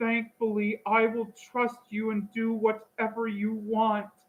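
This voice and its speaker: A shaky, timid tone comes through in this put-on character voice. It moves at a fairly slow pace with monotone, flat intonation. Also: woman, fairly high pitch for a woman. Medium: read story. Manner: timid, quavering.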